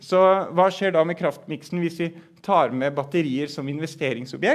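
A man's high-pitched voice at a fairly slow pace, with ordinary pitch variation, over a quiet background. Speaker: professor. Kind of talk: lecture. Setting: stage with audience. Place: meeting room. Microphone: headset.

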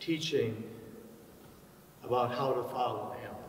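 Audible room echo surrounds the man as he talks. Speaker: pastor. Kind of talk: scripture reading. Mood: solemn, measured. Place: church.

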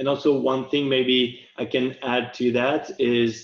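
The man's words come at a very slow pace. An echo from the room can be heard. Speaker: UI designer. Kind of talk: product demo presentation. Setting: video call. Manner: hesitant, many fillers. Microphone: video call.

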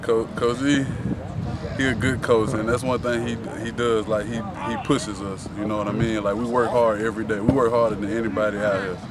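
Speech at a fairly quick pace sounds dry with no echo, under loud background noise. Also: man. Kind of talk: interview answer. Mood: relaxed, confident. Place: open country.

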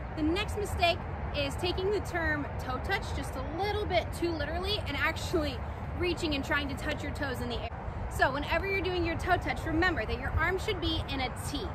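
Over music in the background, a woman speaks at a fairly quick pace with ordinary pitch variation, and the sound is dry with no echo. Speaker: cheer instructor. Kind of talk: tutorial. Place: open country.

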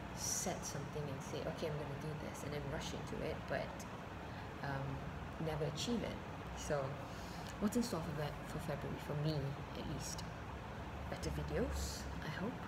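Against loud background noise, a woman talks with long, frequent pauses. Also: moderate pace. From Malaysia. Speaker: branding specialist, voice over artist. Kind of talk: casual vlog talk to camera. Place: home room. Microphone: webcam.

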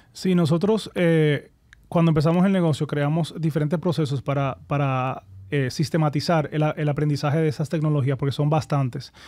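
A man speaks at a moderate pace with a fairly high pitch and a dark, mellow tone. His intonation is fairly even, his loudness very even, and the recording very clean with a silent background. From Dominican Republic, Santo Domingo. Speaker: entrepreneur, company founder. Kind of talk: interview conversation.

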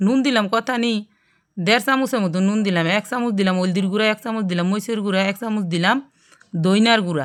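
A woman in a central Bangladeshi accent, medium in pitch with ordinary pitch variation, on a very clean recording with a silent background. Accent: Gazipur regional Bengali dialect. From Bangladesh, Gazipur. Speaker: cooking YouTuber. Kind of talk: cooking tutorial. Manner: casual, chatty.

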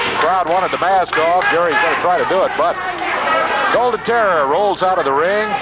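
The talking runs at a fairly quick pace. Behind it, background noise is loud. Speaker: wrestling commentator. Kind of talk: live wrestling play-by-play.

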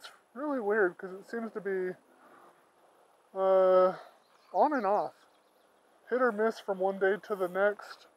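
A woman talks at a very slow pace. The sound is dry, with no echo. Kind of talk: casual vlog chat. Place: waterside. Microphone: phone near.

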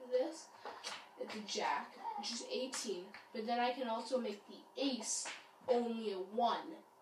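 With noticeable background noise behind her, a woman speaks at a fairly slow pace in a high pitch, with ordinary pitch variation and big swings in loudness. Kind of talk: casual commentary explaining a card game. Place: home room. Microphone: camera far.

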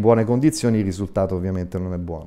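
With ordinary pitch variation, the man's voice has a dark, mellow tone. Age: 60s. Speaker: eye surgeon; guest. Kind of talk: TV interview. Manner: hesitant, many fillers. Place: studio. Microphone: lapel.

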